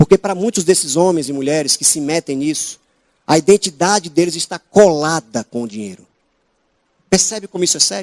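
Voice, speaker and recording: Talking at a fairly quick clip with lively intonation, a man with a northeastern Brazilian accent has a high pitch for a man, recorded dry and close with no echo. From Northeast Brazil. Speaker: preacher. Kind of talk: sermon.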